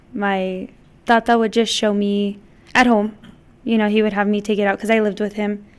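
In an American accent, a woman at medium pitch talks at a moderate pace with monotone, flat intonation. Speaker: mariachi director and performer. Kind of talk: interview.

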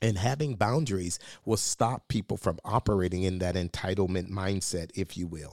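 Recorded dry and close with no echo, a man speaks with a very deep, low pitch. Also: ordinary pitch variation, moderate pace, very clean recording, silent background. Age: 50s. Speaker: podcast co-host, pastor. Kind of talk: casual chat. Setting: studio.

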